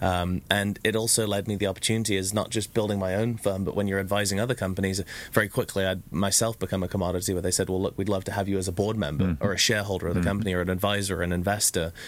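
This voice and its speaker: Fairly low in pitch, a man with an English accent talks at a very fast pace in a monotone, flat delivery with very even loudness. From UK. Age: 30s. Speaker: entrepreneur. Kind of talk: casual chat.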